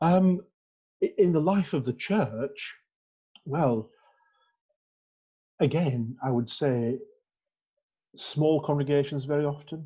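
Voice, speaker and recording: Speaking at a very slow pace with long, frequent pauses, a man has a fairly high pitch and ordinary pitch variation. His tone is dark and mellow, and his voice is somewhat breathy. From northern England, North Yorkshire (Skipton). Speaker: Methodist minister. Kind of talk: interview. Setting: church. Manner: halting, many fillers and repeats.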